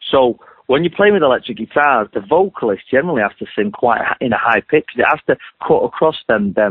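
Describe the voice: The voice has a slightly husky edge and lively intonation. It moves at a fairly quick pace. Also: man.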